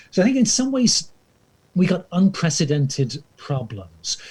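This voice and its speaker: A man's dark, mellow tone, somewhat breathy. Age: 60s. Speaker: historian and professor. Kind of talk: interview dialogue. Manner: hesitant, many fillers.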